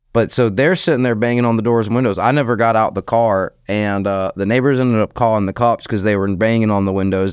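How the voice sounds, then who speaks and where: With a slight Southern US accent, a man speaks fairly low, the sound dry and close with no echo against a quiet background. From US South, Jacksonville area, Florida. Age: 30s. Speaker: recovery coach walking across the country. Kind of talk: interview, personal testimony.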